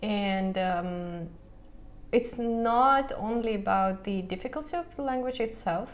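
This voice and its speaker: Her Russian accent clear, a woman speaks very slowly at a fairly high pitch with lively intonation, with audible room echo. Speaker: language teacher and vlogger. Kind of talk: casual vlog monologue. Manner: halting, many fillers.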